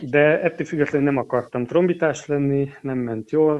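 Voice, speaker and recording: An unremarkable speaking voice from a man, carrying ordinary pitch variation. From eastern Hungary. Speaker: organist and music teacher. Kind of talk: interview.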